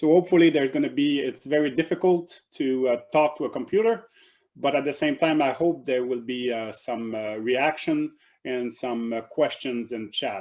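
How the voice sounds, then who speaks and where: A man with a French accent, fairly high pitch, ordinary pitch variation, and a moderate pace. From Quebec, Canada. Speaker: professor. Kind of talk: lecture. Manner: halting, many fillers and repeats.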